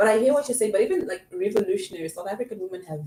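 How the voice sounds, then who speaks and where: Lively intonation marks this woman's speech. Noticeable background noise is present. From Zimbabwe. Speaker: podcast guest. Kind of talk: casual chat.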